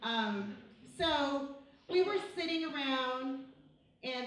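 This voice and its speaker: A woman with a high voice and lively intonation is heard amid noticeable background noise and audible room echo. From Mexico, moved to US as a child. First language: Spanish. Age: 30s. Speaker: high school teacher. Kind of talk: personal story told to students. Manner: casual, conversational.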